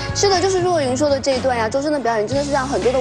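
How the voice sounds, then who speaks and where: A woman is speaking, and clear music plays in the background. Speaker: TV host. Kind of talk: TV talk show hosting. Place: studio. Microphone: lapel.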